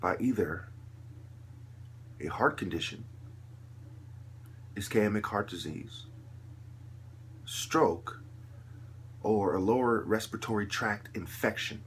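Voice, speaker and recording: A man speaks at a fairly slow pace with a fairly low pitch and a somewhat breathy sound. His intonation is fairly even, and he takes long, frequent pauses. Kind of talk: impassioned monologue.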